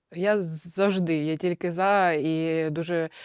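Recorded very cleanly against a silent background, a woman with a Russian accent speaks at a fairly low pitch with fairly even intonation in a dry, close sound with no echo. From Ukraine, Zaporizhzhia. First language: Russian (speaking Ukrainian). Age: 30s. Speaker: soldier and volunteer, war widow. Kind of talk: interview.

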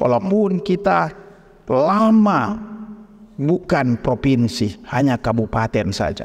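A man speaks very slowly at a fairly high pitch. His pitch swings very widely. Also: quiet background. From Indonesia, Manado (North Sulawesi). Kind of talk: speech to local officials. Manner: animated. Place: hall. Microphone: podium.

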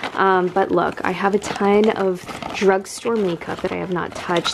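A woman with a fairly low pitch speaks with vocal fry over faint background noise.

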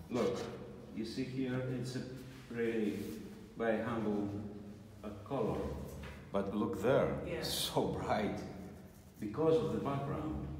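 Long, frequent pauses break up a man's fairly slow speech, with light background noise and audible room echo. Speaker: icon painting teacher. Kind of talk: tutorial. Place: workshop. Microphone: phone near.

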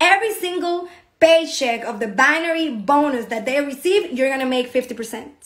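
With a Spanish accent, a woman talks at a moderate pace in a high pitch with lively intonation against a quiet background. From Dominican Republic. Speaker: network marketing business promoter. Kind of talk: sales pitch. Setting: online video presentation.

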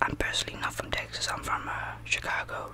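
Whispering at a fairly quick pace, a man speaks. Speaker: ASMR creator playing a barber. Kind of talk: roleplay chat. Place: home room. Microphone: studio mic.

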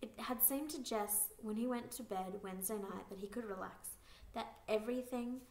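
Natural reading is what you hear. The voice reads without strain.

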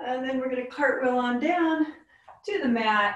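Here a woman speaks at a very slow pace. Her voice is somewhat breathy. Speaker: yoga instructor. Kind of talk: guided yoga class, calm cueing with warm, playful asides. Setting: online video class. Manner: soothing, slow, instructional, gently upbeat.

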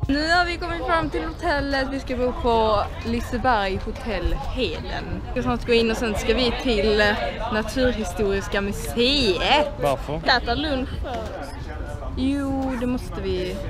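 A woman at a fairly slow pace over clear background music. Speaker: vlogger on a class trip. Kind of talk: casual vlog chat. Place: street. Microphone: phone near.

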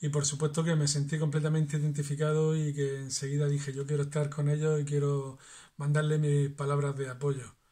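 The tone is dark and mellow, somewhat breathy, with very even loudness. The pace is fairly quick. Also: man, fairly high pitch for a man. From La Unión, Murcia, Spain. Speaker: trovo poet and flamenco artist. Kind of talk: poet reading improvised verse aloud. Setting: home video message. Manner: rhythmic, sing-song verse delivery with rhymes, warm and earnest. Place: home room. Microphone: phone near.

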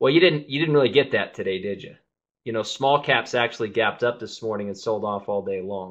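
A man with a normal speaking voice talks at a fairly quick pace, his loudness swinging widely. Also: medium pitch for a man, ordinary pitch variation. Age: 30s. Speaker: trading educator, show host. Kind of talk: live webinar market analysis. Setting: live online webinar with screen share.

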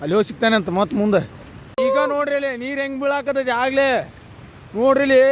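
A man's voice shows ordinary pitch movement, with noticeable noise in the background. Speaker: travel vlogger. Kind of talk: vlog walk-and-talk. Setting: outdoors at a waterfall trail. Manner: animated.

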